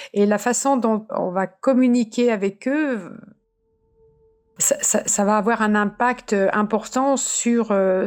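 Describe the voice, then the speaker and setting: A woman speaks very slowly at a fairly high pitch. Her intonation is fairly even and her loudness very even. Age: 70s. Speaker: cancer survivor and patient advocate. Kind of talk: personal testimony. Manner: halting, many repetitions and fillers.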